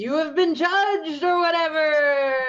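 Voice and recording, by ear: Putting on a character voice, a woman talks at a moderate pace with an extremely high pitch.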